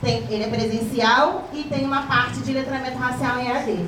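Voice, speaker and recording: Against noticeable background noise and audible room echo, a woman speaks in a high voice. She keeps a moderate pace with ordinary pitch variation. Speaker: education official. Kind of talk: lecture.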